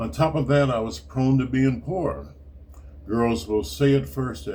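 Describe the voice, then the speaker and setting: A man talks at a fairly slow pace. Audible room echo and noticeable background noise surround his voice. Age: 70s. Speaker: retired writer and martial arts teacher. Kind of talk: reading aloud.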